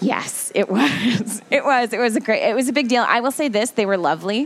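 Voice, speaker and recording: With an American accent, a woman rattles along at a very fast pace using lively intonation. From New Jersey. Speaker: library spokesperson, former TV journalist. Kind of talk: casual radio interview. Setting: radio studio.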